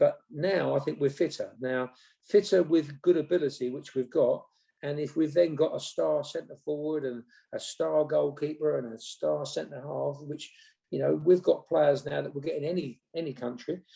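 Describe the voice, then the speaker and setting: A man with an English accent at a moderate pace. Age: 60s. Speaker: former football manager. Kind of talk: interview. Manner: halting.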